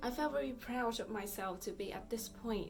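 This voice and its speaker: Against noticeable background noise and audible room echo, a woman with a Vietnamese accent speaks at a moderate pace with ordinary pitch variation. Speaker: fitness vlogger. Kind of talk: casual vlog talk. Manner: halting, many fillers.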